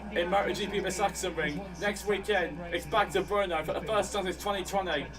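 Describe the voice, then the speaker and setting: A man with a high voice speaks fairly quickly while noticeable background noise runs underneath. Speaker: live watchalong streamer. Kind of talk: live race commentary watchalong. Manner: fast; animated.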